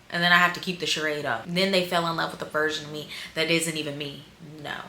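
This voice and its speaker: With an American accent, a woman with a fairly low pitch speaks very fast in an animated tone, amid noticeable background noise and audible room echo. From US South. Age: 20s. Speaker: dating advice vlogger. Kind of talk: casual vlog.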